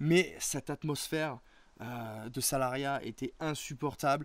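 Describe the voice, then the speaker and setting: A man's fairly high voice with ordinary pitch variation, in a very clean recording with a silent background. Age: 30s. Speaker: interviewee, small online entrepreneur. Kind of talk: casual interview, personal testimony. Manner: hesitant, many fillers and repetitions.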